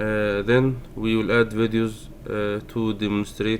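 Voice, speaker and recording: A man's fairly low voice with a non-native accent, at a very slow pace. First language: not English. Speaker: programming tutorial maker. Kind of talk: tutorial. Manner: halting, many fillers. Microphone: poor sound quality.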